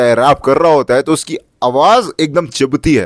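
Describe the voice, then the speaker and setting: This is an unremarkable speaking voice with ordinary pitch variation at a moderate pace. The sound is dry and close, with no echo. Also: man. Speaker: self-improvement youtuber. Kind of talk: tutorial.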